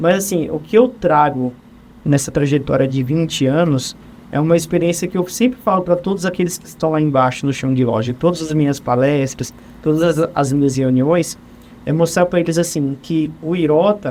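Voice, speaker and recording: At a moderate pace, a man speaks in a fairly high pitch with ordinary pitch variation, a plain, everyday voice. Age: 30s. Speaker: HR supervisor. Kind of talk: interview conversation.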